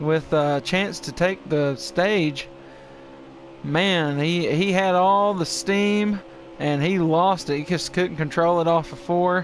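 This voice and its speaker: With music playing in the background, a man talks fairly slowly at a high pitch. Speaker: race commentator. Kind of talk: live race commentary.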